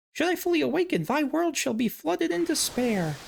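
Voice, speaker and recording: A man puts on a character voice with an extremely high pitch. He talks at a fairly quick pace. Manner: menacing, archaic.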